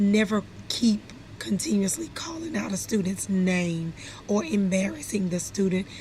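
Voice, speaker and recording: The speaker uses lively intonation at a moderate pace over noticeable background noise. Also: woman, medium pitch for a woman. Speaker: instructional specialist, former teacher. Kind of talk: training presentation. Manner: loud by nature; animated.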